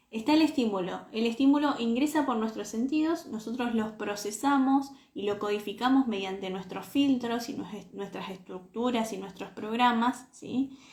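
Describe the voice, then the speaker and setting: A woman speaks at a fairly high pitch and moderate pace with hardly any pauses, over noticeable background noise. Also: ordinary pitch variation. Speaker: self-knowledge coach. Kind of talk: live stream talk. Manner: animated.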